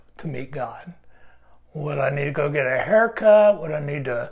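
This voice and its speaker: Here a man is speaking. His intonation is lively. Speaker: devotional video host. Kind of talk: sermon-like devotional talk to camera. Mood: warm, light laughter. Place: studio. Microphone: lapel.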